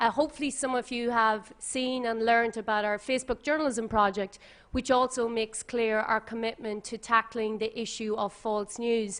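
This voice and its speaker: In an Irish accent, a woman talks at a moderate pace with a fairly high pitch and fairly even intonation. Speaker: tech company policy manager, former journalist. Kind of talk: panel talk. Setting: conference with audience. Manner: formal.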